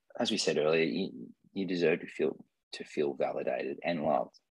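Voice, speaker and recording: This man has an Australian accent and keeps to a moderate pace. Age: 30s. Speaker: mental health advocate sharing lived experience. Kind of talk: interview about personal experience. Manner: halting, many fillers and repeats.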